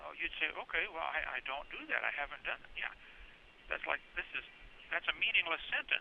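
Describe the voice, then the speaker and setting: There is noticeable background noise as a man speaks with big swings in loudness. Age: 60s. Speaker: evangelist preacher. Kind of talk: interview. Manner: animated.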